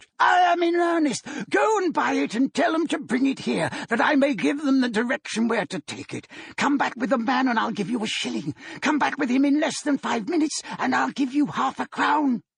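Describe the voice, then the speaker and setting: Putting on a character voice, a man talks at a fairly quick pace in an extremely high pitch. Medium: read story. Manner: exuberant, breathless.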